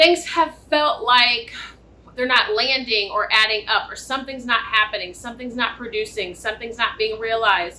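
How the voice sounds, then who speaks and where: A loud woman's voice, high in pitch, with ordinary pitch variation. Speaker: tarot reader. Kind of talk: tarot reading. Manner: loud, projecting.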